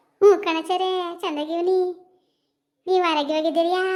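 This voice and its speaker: This woman uses a cartoonish character voice with an extremely high pitch. Her intonation is monotone and flat. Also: moderate pace. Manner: chatty, colloquial.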